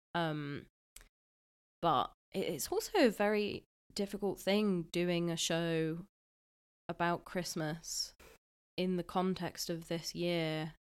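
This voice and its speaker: A woman with an English accent speaks in a fairly low pitch with fairly even intonation. Her pace is very slow, with long, frequent pauses. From Scotland. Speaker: drag king podcast co-host. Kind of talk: comedic casual chat. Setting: remote recording from home.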